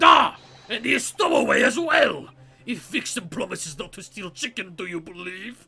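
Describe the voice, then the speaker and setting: A man shouting in a put-on character voice, high-pitched, at a moderate pace. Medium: game stream. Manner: loud, blunt.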